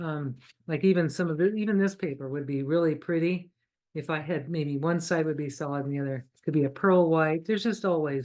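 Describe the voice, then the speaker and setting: A woman's very deep, low voice at a fairly quick pace, with ordinary pitch variation. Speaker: artist and origami craft instructor. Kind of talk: livestream craft tutorial. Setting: livestream. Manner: fast; chatty, enthusiastic.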